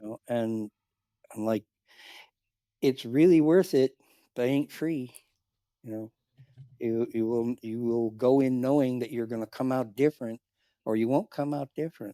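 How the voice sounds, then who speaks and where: Here a man speaks at medium pitch in a dark, mellow tone, at a moderate pace with long, frequent pauses. The recording is very clean, with a silent background and a dry, close sound with no echo. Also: ordinary pitch variation. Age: 60s. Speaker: cuddle therapy client and volunteer. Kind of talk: podcast interview. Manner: halting.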